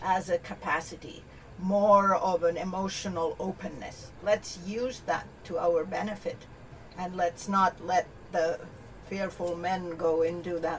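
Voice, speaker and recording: Against noticeable background noise, a woman with a medium-pitched voice talks at a fairly slow pace. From Canada. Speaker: keynote speaker and business advisor. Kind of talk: podcast interview.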